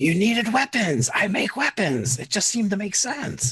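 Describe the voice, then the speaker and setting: The voice is a put-on character voice at a middle pitch. It swings very widely in pitch. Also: moderate pace. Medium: actual play. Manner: casual, rambling.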